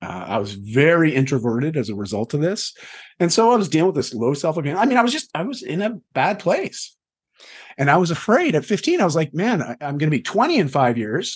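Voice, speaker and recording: A man's fairly high voice, with vocal fry and very wide pitch swings, moves at a fairly quick pace over a quiet background. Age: 40s. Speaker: health and lifestyle coach. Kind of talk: casual interview chat. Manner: animated.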